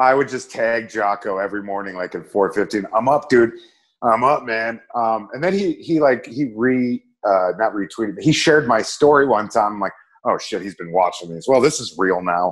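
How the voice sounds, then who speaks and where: A man's ordinary speaking voice at medium pitch, with lively intonation and a moderate pace. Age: 30s. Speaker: comedian and actor, Marine veteran. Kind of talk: casual interview chat.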